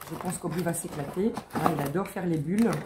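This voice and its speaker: Noticeable background noise and audible room echo surround this recording. A woman speaks at a fairly quick pace in a fairly low pitch with fairly even intonation. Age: 40s. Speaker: lifestyle vlogger. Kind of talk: product haul, casual. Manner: hesitant, filler-heavy.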